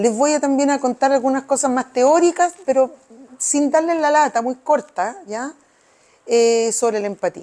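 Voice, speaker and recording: This woman's high-pitched voice has a dark, mellow tone, ordinary pitch variation and a fairly slow pace. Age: 70s. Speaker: psychologist. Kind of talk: interactive workshop.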